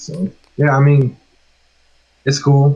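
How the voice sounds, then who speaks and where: A man's fairly high, somewhat breathy voice at a very slow pace. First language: Spanish. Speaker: music producer. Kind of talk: casual chat.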